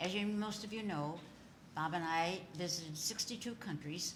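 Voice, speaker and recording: Audible room echo and noticeable background noise around a woman's moderate pace. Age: 80s+. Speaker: literacy organization founder and author. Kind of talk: interview. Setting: studio with live audience.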